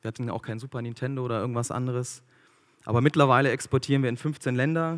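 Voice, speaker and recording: The background is quiet. A man speaks at a very fast pace. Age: 30s. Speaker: food company founder and speaker; speaker. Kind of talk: motivational talk. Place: stage. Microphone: handheld.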